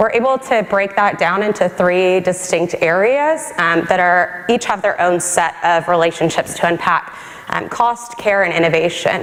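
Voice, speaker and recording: A woman with an American accent talks at a moderate pace, medium in pitch with ordinary pitch variation. Her loudness stays very even, she hardly pauses, and background noise is noticeable. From Texas. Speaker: government science policy advisor. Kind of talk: conference talk.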